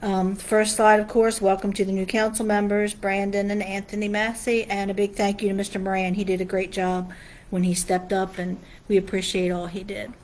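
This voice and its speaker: A woman of medium pitch speaks with an American accent and monotone, flat intonation. Audible room echo can be heard. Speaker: town official presenting to council. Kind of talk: public meeting presentation. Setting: town council meeting room. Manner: fast.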